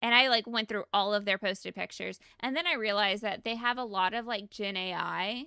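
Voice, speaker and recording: A woman with an American accent talks at a fairly quick pace with hardly any pauses. Her fairly high voice has a bright, sharp, animated tone and a dry, close sound with no echo. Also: ordinary pitch variation, very clean recording, silent background. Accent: Southern US, mostly masked. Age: 30s. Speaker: game streamer. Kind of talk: casual livestream chat.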